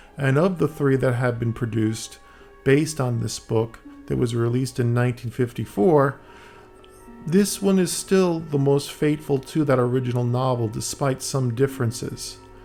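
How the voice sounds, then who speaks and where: Music is playing in the background. Over it, a man talks with ordinary pitch variation. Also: medium pitch for a man, moderate pace. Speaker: film commentator. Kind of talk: film audio commentary. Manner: hesitant, many fillers.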